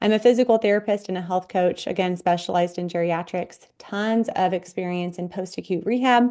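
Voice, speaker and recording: A woman with an American accent speaks at a medium pitch in a dark, mellow tone. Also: quiet background. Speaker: physical therapist and health coach. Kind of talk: online workshop presentation.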